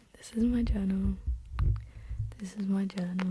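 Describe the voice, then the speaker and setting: Someone with an Essex accent speaks over noticeable background noise. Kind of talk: casual, chatty.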